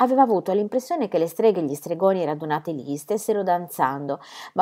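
The intonation here is lively. It comes through an unforced reading voice.

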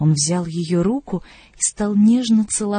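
Someone reads out loud in a natural voice, the pitch rising and falling in an ordinary way.

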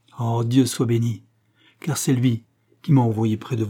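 The background stays quiet. The speaker uses a natural reading voice.

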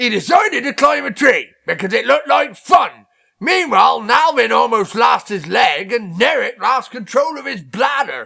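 Shouting in a put-on character voice, a man with an extremely high pitch goes at a moderate pace with hardly any pauses. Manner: shouting, indignant.

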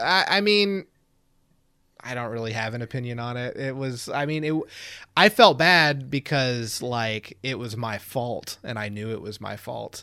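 On a very clean recording with a silent background, a man of medium pitch speaks in an unremarkable speaking voice at a fairly slow pace, his intonation lively and his loudness swinging widely. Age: 30s. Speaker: podcast host. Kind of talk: casual chat.

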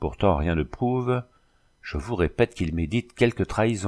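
With lively intonation, the speaker reads in a natural voice.

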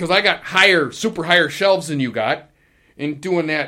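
Bright and sharp in tone, a man speaks at a high pitch with ordinary pitch variation and a moderate pace. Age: 50s. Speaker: maintenance man, podcast co-host. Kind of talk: casual chat.

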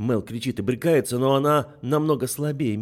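The voice heard here is an unforced reading voice.

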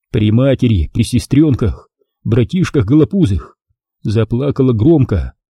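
Over a quiet background, an unforced reading voice carries lively intonation.

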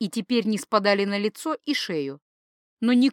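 Heard over a quiet background, an unforced reading voice carries ordinary pitch variation.

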